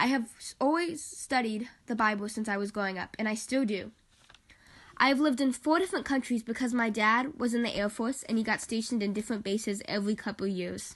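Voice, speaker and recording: Somewhat breathy and fairly high, a woman's voice moves at a fairly quick pace. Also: ordinary pitch variation. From military family; England, Korea, Japan, then Las Vegas. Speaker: university student. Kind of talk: class project self-presentation, read aloud.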